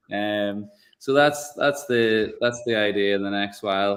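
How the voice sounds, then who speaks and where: A man talks with a Northern Irish accent. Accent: funny accent, northern Irish. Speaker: whiskey producer. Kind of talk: live tasting chat.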